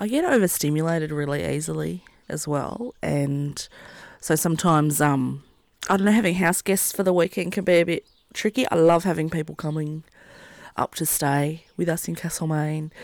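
With an Australian accent, a woman talks in a very deep, low voice with ordinary pitch variation. The recording is very clean, with a silent background. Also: moderate pace. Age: 30s. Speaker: podcast host and wedding celebrant. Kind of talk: casual interview chat. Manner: halting, many fillers.

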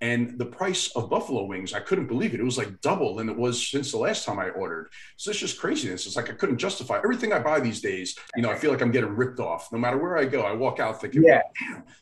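Talking at a very fast pace, a man uses a medium pitch with very wide pitch swings. Noticeable background noise runs under his voice. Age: 40s. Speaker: finance podcast co-host. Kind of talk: casual chat.

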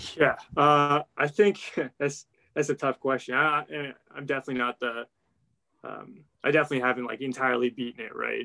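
A man's bright, sharp tone at medium pitch, fairly quick pace broken by long, frequent pauses, fairly even intonation, and a dry, close sound without echo. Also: big swings in loudness. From central Ohio, US. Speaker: chemical engineering grad student. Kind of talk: casual interview. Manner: halting, many fillers.

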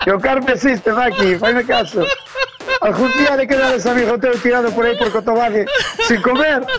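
An extremely high-pitched man at a fairly quick pace, with ordinary pitch variation and noticeable background noise. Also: very even loudness. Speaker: truck driver. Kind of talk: casual chat.

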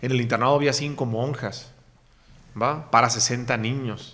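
A man speaks at a fairly slow pace, his medium pitch showing ordinary variation. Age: 30s. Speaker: podcast host and entrepreneur. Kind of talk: interview, personal life story.

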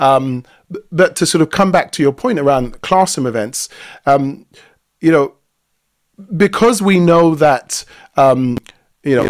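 Fairly high-pitched male speech with a South London accent, lively intonation and long, frequent pauses, dry and close with no echo. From South London, England. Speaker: workplace culture and facilitation expert. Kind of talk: expert talk in live webinar. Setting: video call.

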